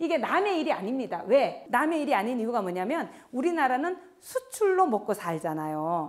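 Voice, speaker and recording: Her voice is high-pitched with very wide pitch swings. The woman talks at a fairly quick pace. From Gyeongsang province, South Korea. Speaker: professor. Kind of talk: lecture.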